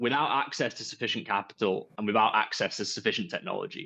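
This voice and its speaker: With a Yorkshire accent, a man speaks very fast and with lively intonation over a quiet background. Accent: Yorkshire accent, noticeable. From northern England, Yorkshire. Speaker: entrepreneur, company founder. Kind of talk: panel discussion.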